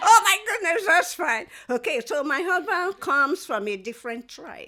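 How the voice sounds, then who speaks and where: A woman with an extremely high pitch speaks in a raised, projected voice at a moderate pace. Her pitch swings very widely and her loudness shifts a lot. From Nigeria, Owerri, Imo state (Igbo). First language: Igbo. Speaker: author and historian. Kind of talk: interview.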